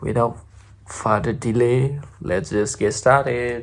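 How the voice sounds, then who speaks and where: A man speaks quietly at a very slow pace. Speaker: YouTuber reacting to music videos. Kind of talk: reaction video commentary. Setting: home recording at night. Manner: quiet, lowered voice.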